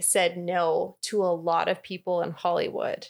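Speaking at a fairly slow pace, a woman has a medium pitch and a plain, everyday voice. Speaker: podcast co-host. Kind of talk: casual chat.

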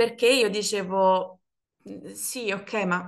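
A woman's ordinary speaking voice at medium pitch, with ordinary pitch variation. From Naples, Italy. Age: 30s. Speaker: former office worker. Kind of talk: casual chat.

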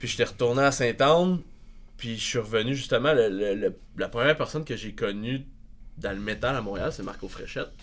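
A man speaks in a normal speaking voice at medium pitch, moving at a fairly quick pace with ordinary pitch variation and big swings in loudness. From Quebec, northern Laurentides village. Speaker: progressive metal musician. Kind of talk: casual chat.

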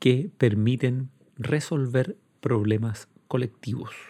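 A man's dark, mellow, slightly breathy voice at a medium pitch and very slow pace. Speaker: law professor. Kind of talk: lecture. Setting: recorded at home during quarantine.

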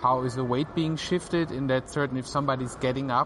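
A man speaks at a medium pitch with monotone, flat intonation. Background noise is noticeable. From southern Germany (Swabia, Tübingen). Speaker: animator. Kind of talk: interview. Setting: outdoor venue on artificial grass.

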